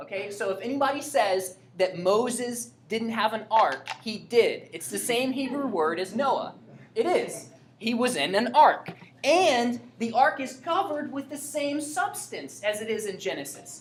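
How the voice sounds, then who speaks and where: A woman speaks at a fairly slow pace in a high pitch with very wide pitch swings, and audible room echo surrounds her. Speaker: Bible teacher. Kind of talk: Bible class lecture with questions. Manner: casual, conversational.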